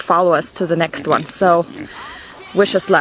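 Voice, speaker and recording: Music plays in the background as a woman with a non-native accent speaks at a moderate pace, the sound dry and close with no echo. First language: not English. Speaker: homesteader vlogger. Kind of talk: casual vlog narration.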